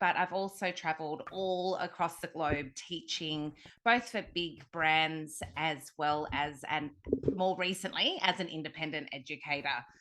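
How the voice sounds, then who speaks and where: A woman with an Australian accent speaks at a fairly slow pace, her fairly low pitch carrying a bright, sharp tone and ordinary pitch variation. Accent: Australian, slow drawl. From Australia (Sydney). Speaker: hair colour educator. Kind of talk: interview podcast.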